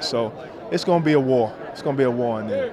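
A man at a fairly quick pace, dry sound with no echo and noticeable background noise. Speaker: boxing analyst. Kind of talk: casual on-camera sports interview. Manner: animated. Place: hall. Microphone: handheld.

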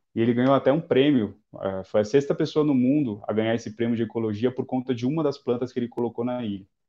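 Fairly even in intonation, a man speaks at a very fast pace. The background is quiet. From Guarujá, São Paulo coast, Brazil; São Paulo, Brazil. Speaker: environmental engineer, institute founder; guest. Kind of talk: live-stream interview. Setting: online live stream. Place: home room. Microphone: video call.

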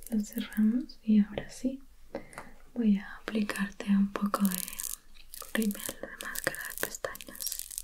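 Against light background noise, a woman talks at a very slow pace. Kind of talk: soft roleplay talk to viewer. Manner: soft, hushed ASMR voice close to the camera. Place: home room.

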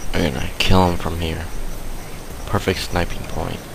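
Speech at a fairly slow pace comes through dry with no echo over noticeable background noise. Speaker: gamer. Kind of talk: gameplay commentary.

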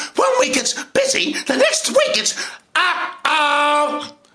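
A man is heard with audible room echo against a quiet background. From Ireland. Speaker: actor and video blogger; actor vlogger. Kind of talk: casual vlog monologue. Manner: playful. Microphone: webcam.

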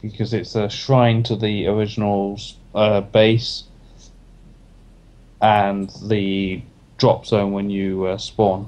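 A man speaks very slowly in a flat monotone, his fairly low voice broken by long, frequent pauses. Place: home room. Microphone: headset.

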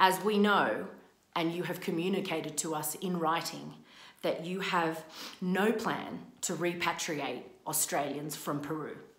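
A woman's fairly slow, fairly even-toned delivery with audible room echo. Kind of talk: reading a prepared open statement. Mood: frustrated, earnest. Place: home room. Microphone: phone near.

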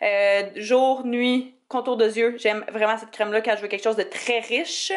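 A woman speaks in an animated tone with a Quebec accent. The background is quiet. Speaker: beauty YouTuber. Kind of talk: tutorial. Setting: home office. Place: home room. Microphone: phone near.

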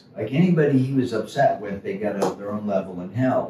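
A man in an American accent with very wide pitch swings, plus audible room echo and light background noise. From Florida (St. Petersburg); Florida. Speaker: painter and musician. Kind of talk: casual chat. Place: hall.

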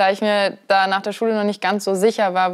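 A woman speaks against a quiet background. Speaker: interview guest. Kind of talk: interview answer. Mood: friendly, relaxed. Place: home room. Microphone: lapel.

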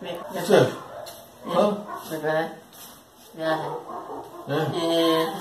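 A man with a high pitch and ordinary pitch variation talks with big swings in loudness. He leaves long, frequent pauses while music plays in the background. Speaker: interviewer and interpreter. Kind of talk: interview, interpreting for the deaf-mute guest, casual talk. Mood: joking, playful. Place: home room. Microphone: phone near.

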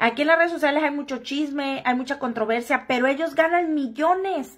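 A woman's high-pitched, animated voice against a quiet background. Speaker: gossip livestream host; gossip vlogger. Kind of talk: casual livestream chat. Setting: live stream. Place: home room. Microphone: headset.

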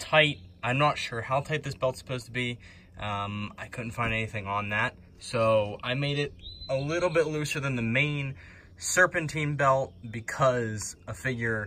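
A man's bright, sharp tone at a moderate pace, with ordinary pitch variation and light background noise. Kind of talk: tutorial. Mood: relaxed, amused. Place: garage. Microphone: phone near.

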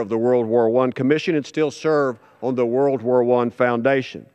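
A man's very fast, medium-pitched speech in an American accent, with ordinary pitch variation over a quiet background. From Texas. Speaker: congressman and former judge. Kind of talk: parliament oratory, formal floor speech. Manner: earnest, storytelling, slightly halting. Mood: solemn, respectful. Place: hall. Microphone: podium.

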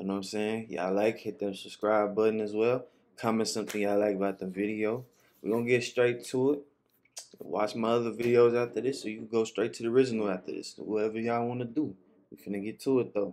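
In very fast speech, a man holds a fairly even intonation. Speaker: reaction video creator. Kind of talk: casual reaction commentary. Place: home room.

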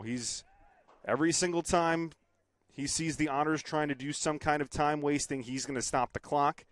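With an unremarkable speaking voice, a man talks at a moderate pace in a fairly high pitch with fairly even intonation and a dry sound with no echo. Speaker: sports play-by-play broadcaster. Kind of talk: soccer play-by-play call.

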